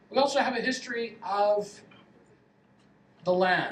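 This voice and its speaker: Speaking at a fairly slow pace with a Canadian accent, a man uses lively intonation, and audible room echo surrounds his voice. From Canada, west coast. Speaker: professor. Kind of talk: lecture. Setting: lecture hall with audience.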